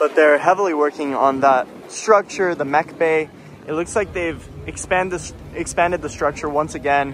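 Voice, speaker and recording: Over noticeable background noise, an excited tone comes through at a moderate pace with ordinary pitch variation. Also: man. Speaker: theme park vlogger. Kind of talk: walking vlog narration. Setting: outdoors at theme park. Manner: excited bursts.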